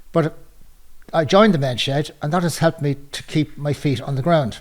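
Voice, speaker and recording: This man has an Irish accent and a fairly high, somewhat breathy voice. He speaks at a moderate pace with ordinary pitch variation. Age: 60s. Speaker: retiree, men's shed member. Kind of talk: testimony.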